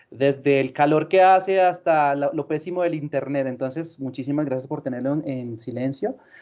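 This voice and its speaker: A man with a Colombian accent talks at a moderate pace, with hardly any pauses. His pitch is fairly high, with ordinary variation. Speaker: sales manager. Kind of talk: webinar presentation.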